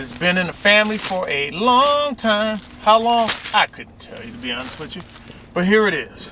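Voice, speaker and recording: A man with an American accent projects a raised voice at a high pitch, his pitch swinging very widely. He talks at a fairly slow pace amid noticeable background noise. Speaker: YouTuber. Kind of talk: casual vlog.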